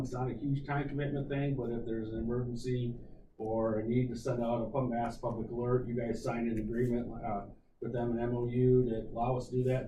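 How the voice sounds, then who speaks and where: Audible room echo surrounds a man who talks very fast. His medium-pitched voice is monotone and flat. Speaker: county emergency manager. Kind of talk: committee meeting report. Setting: county committee meeting.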